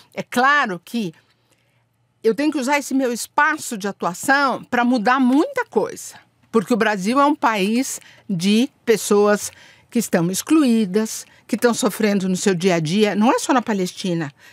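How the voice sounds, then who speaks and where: Lively intonation marks this woman's fairly slow speech. The recording is very clean, dry and close, with no echo and a silent background. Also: fairly high pitch for a woman. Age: 60s. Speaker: diplomat. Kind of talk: podcast interview. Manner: animated.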